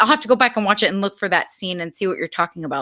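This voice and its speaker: A woman's bright, sharp tone with lively intonation in a dry, close sound with no echo. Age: 20s. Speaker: film fan guest on podcast. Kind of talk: casual chat. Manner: fast.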